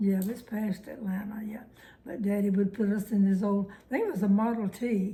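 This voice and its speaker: A woman with a Southern US accent talks at a moderate pace in a monotone, flat intonation. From Alabama. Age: 90s. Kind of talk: oral history interview answer.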